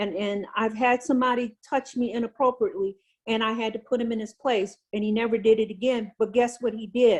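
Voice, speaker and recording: A woman's fairly high voice at a fairly quick pace, over a quiet background. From Louisiana, US South. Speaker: retired navy senior enlisted leader. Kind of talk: interview on leadership. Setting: video call. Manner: animated.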